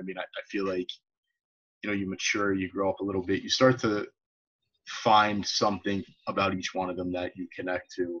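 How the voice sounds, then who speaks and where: A man talks with an American accent at a very fast pace. His pitch is fairly low. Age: 30s. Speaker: podcast host, teacher. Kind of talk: casual interview chat.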